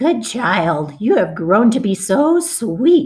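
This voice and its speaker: In a put-on character voice, a woman speaks at a very slow pace. Her fairly high pitch makes very wide swings. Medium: read story. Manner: wheedling, falsely sweet.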